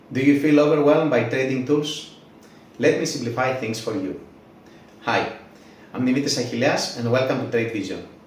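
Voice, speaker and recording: Speaking at a fairly quick pace with long, frequent pauses, a man with a non-native accent keeps fairly even intonation amid audible room echo and noticeable background noise. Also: medium pitch for a man. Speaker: trading tools creator, YouTuber. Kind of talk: channel intro, scripted.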